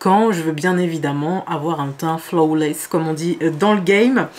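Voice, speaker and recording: Noticeable background noise beneath a moderate pace and fairly even intonation. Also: woman. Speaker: beauty youtuber. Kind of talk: makeup tutorial. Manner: hesitant, many fillers.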